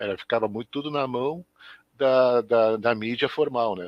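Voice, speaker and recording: Against a quiet background, a man with an unremarkable speaking voice talks at a moderate pace in a dry, close sound with no echo. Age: 60s. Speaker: schoolteacher. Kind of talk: live web interview. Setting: live web broadcast.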